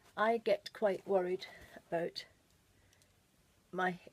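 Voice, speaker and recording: A woman with a British accent at a fairly slow pace, fairly even in intonation, in dry, close sound with no echo. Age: 60s. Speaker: beauty vlogger. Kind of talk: makeup tutorial. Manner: casual, chatty.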